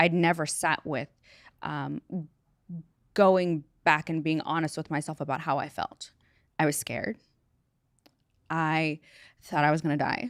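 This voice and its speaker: The speaker moves at a fairly slow pace with long, frequent pauses. Intonation stays fairly even, and the sound is dry and close with no echo. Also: woman, very deep, low pitch for a woman. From born in a refugee camp in Sudan. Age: 30s. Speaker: entrepreneur and mother. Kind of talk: interview conversation. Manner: casual, filler-heavy.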